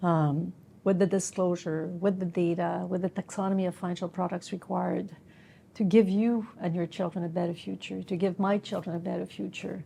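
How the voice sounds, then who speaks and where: Somewhat breathy and dark, mellow in tone, a woman talks at a fairly quick pace with a fairly low pitch and fairly even intonation. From Quebec. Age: 50s. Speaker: business executive. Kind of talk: interview. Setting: recorded interview in Montreal.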